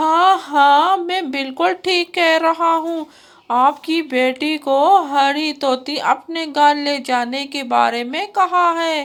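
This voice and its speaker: In a cartoonish character voice, a woman talks at a fairly slow pace with a high pitch. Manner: sly, eager to stir trouble.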